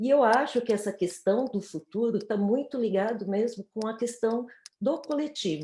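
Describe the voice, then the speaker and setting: On a very clean recording with a silent background, a woman speaks at a fairly high pitch with ordinary pitch variation and a dark, mellow tone. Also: moderate pace. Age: 60s. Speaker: panelist in online talk. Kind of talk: panel discussion.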